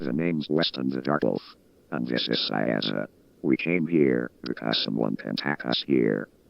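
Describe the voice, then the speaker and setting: In a put-on character voice pitched very deep and low, a man talks at a moderate pace. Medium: audio drama.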